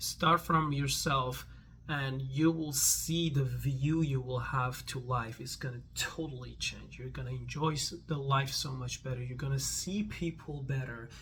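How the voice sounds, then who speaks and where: A man with a non-native accent speaks at a fairly slow pace with hardly any pauses, amid noticeable background noise and audible room echo. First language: not English. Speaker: vlogger. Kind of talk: casual vlog monologue. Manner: halting, many false starts.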